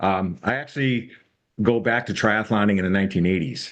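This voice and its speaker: Against a quiet background, a man with a fairly low pitch talks at a fairly quick pace in an ordinary speaking voice. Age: 60s. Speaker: retired triathlon participant. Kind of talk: self-introduction.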